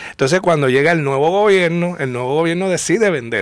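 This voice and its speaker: A man speaks in an unremarkable speaking voice, fairly high in pitch with ordinary pitch variation. The sound is dry with no echo, over a quiet background. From Puerto Rico. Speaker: popular culture historian. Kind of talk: casual chat. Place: studio.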